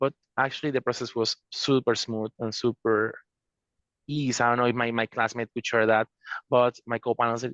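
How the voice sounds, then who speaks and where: Monotone, flat speech at a fairly quick pace with a Spanish accent, in a dry, close sound with no echo and a quiet background. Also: man. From Venezuela. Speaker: law student, attorney. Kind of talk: panel discussion. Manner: halting.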